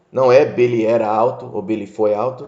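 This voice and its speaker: A man talks with audible echo from the room. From United States (moved from Brazil at age 6). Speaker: English teacher. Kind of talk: lecture. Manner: casual, conversational.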